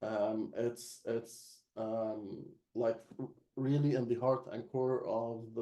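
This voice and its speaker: Speaking in an Arabic accent, a man uses a dark, mellow tone at medium pitch with fairly even intonation. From Egypt. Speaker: localization expert. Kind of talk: webinar panel discussion.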